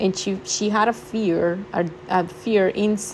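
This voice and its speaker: With a non-native accent, a woman at a medium pitch talks at a very slow pace, her intonation lively. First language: not English. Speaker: spirituality vlogger. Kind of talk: casual talk to camera. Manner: halting, many fillers.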